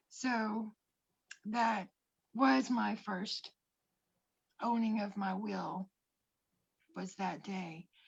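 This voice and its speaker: A woman talks at a very slow pace, with long, frequent pauses. Her voice is somewhat breathy, with ordinary pitch variation. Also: medium pitch for a woman. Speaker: life coach. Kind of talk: personal testimony. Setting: livestream.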